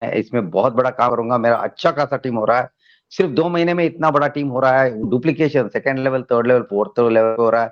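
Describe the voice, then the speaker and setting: A man's plain, everyday voice at a medium pitch, with ordinary pitch variation, a moderate pace and a quiet background. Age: 60s. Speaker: network marketing member. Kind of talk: testimony.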